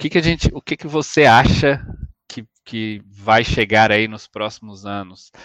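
A man with an ordinary speaking voice, medium-pitched, at a fairly slow pace, with ordinary pitch variation and big swings in loudness, in a dry, close sound with no echo. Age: 30s. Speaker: podcast host. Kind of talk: interview.

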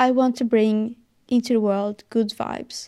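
With a Swedish accent, a woman speaks in a dark, mellow tone at a fairly high pitch, her intonation monotone and flat, the sound dry and close with no echo. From Sweden. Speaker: podcast host, fitness and wellness advice creator. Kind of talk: solo podcast monologue, personal and motivational. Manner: halting, searching for words, sincere.

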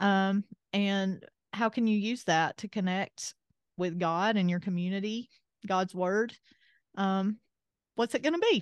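With an Appalachian accent, a woman talks at a fairly slow pace and medium pitch, using ordinary pitch variation and long, frequent pauses, in a dry, close recording with no echo and a quiet background. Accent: Southern US (Appalachian). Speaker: podcast host. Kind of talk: casual chat.

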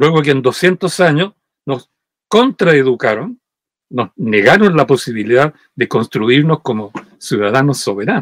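A man at medium pitch, fairly slow, with long, frequent pauses and very wide pitch swings, in a dry, close sound with no echo. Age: 80s+. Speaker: historian. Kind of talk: interview.

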